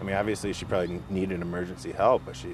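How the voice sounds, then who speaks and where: A man speaks in a fairly low pitch with an Upper Midwest accent. Background noise and room echo are audible. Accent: Upper Midwest American. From northern Michigan. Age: 30s. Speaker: political candidate. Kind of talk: interview. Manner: halting.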